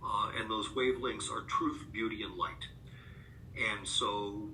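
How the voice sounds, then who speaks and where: A man speaks over noticeable background noise, with audible echo from the room. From US Northeast, upstate New York. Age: 50s. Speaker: author and rare disease advocate. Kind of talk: podcast interview. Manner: hesitant, many filler words; reflective.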